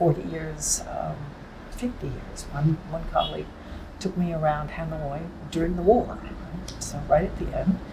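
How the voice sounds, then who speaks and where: Moderate pace from a woman, with long, frequent pauses and big swings in loudness, plus audible room echo and noticeable background noise. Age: 80s+. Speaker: writer and translator. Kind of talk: interview. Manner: halting.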